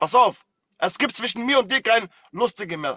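A man speaks at a very fast pace in an animated tone, his pitch extremely high. The sound is dry with no echo, against a quiet background. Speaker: TikTok live streamer. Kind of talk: heated live-stream argument. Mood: angry, threatening. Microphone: phone near.

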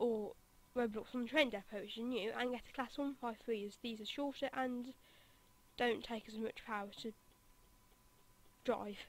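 A woman speaks at a moderate pace with a high pitch. Her intonation stays fairly even. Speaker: game developer. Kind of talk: game tutorial voice-over. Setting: low-quality home microphone. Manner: casual, hesitant.

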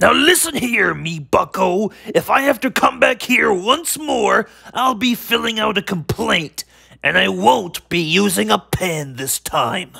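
A man's cartoonish character voice, high-pitched and at a fairly slow pace. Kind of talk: cartoon comic overacting. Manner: blustering, threatening, yelling like an old sailor.

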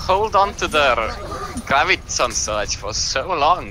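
A man is speaking. Noticeable background noise runs throughout. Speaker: esports shoutcaster, co-caster. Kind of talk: live commentary of a game. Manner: casual, conversational.

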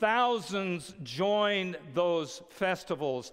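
A man speaks at a very slow pace in a high voice, with ordinary pitch variation over a quiet background. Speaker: preacher. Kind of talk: sermon. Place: stage.

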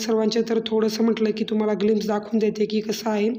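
A woman's fairly high-pitched voice comes through with noticeable background noise. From Maharashtra, Shirur area. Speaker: vlogger, mother. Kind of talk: vlog voice-over.

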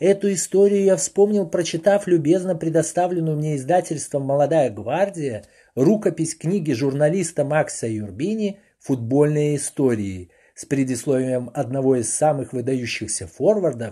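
A man speaks at a fairly slow pace with lively intonation. His tone is dark and mellow, somewhat breathy. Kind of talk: audiobook reading aloud of a printed foreword. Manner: even, measured, formal literary narration.

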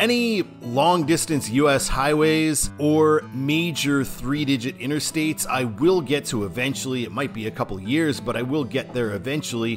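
Clear music fills the background as a man speaks at a moderate pace. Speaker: travel vlogger. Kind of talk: casual vlog chat.

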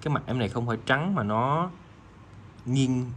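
Somewhat breathy, a man speaks at a fairly slow pace with a medium pitch and lively intonation. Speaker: watch seller. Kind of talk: sales pitch. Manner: informal, chatty.

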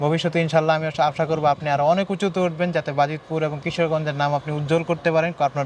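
A man's fairly high-pitched voice in a flat monotone. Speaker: interview show host. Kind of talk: interview.

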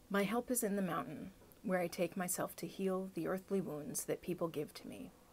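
Medium pitch from a woman, with ordinary pitch variation. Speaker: video blogger. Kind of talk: poet reading a poem aloud, unhurried and reflective, after casual chat. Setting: video blog, self-recorded. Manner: casual, conversational, halting with fillers. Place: home room. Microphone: phone near.

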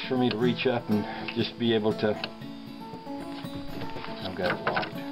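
A man speaks over clear music playing in the background. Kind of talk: casual how-to demonstration. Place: car. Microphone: phone near.

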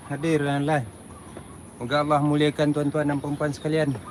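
With noticeable background noise around him, a man talks in a fairly high register. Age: old. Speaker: live-streamer, tour vlogger. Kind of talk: live stream walking tour chat. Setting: outdoors, walking up a hill.

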